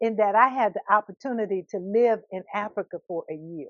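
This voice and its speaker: A woman talks at a moderate pace with a fairly high pitch. Hers is an unremarkable speaking voice. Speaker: minister and speaker. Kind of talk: inspirational talk to camera.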